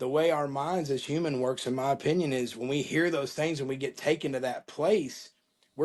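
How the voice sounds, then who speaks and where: Fairly high-pitched, a man talks at a moderate pace with an American accent. He has an unremarkable speaking voice. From Florida, Panama City. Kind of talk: interview.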